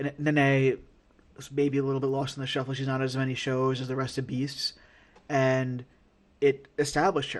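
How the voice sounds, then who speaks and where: Long, frequent pauses break up a man's speech in an American accent. His intonation is monotone and flat. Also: medium pitch for a man, moderate pace. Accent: New York, comes out at times. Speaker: wrestling podcast host. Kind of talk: casual chat. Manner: halting, many fillers and repeated words. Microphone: audio issues, quality changes from backup recording.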